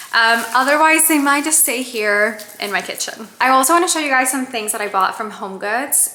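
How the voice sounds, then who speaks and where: Noticeable background noise and audible room echo surround a woman whose lively intonation moves along at a moderate pace. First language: Spanish. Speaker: lifestyle vlogger. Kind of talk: casual haul vlog.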